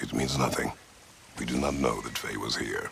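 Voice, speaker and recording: A man uses a put-on character voice at a very deep, low pitch. He talks at a moderate pace over clear background noise. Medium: short film. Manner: terse, blunt.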